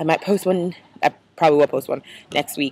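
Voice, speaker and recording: The sound is dry and close with no echo as a woman speaks with an American accent. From United States. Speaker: exchange student vlogger. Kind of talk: casual video blog.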